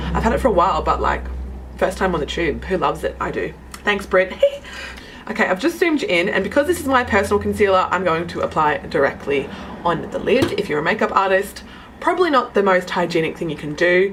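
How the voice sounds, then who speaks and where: Very fast talk from a woman comes through over noticeable background noise. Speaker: makeup youtuber. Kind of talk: tutorial. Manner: casual, chatty.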